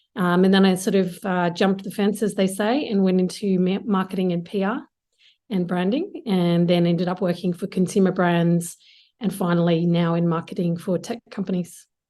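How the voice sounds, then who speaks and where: A woman with an Australian accent, medium pitch, fairly even intonation and a moderate pace. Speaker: marketing executive. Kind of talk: interview.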